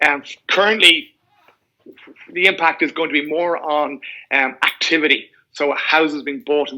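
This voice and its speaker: With an Irish accent, the speaker has a bright, sharp tone. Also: man. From Ireland, Dublin. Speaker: mortgage broker. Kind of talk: podcast interview.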